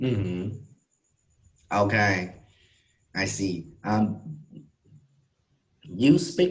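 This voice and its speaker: A man speaks very slowly with vocal fry and very wide pitch swings. Audible room echo surrounds his voice. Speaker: English teacher. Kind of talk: online English lesson.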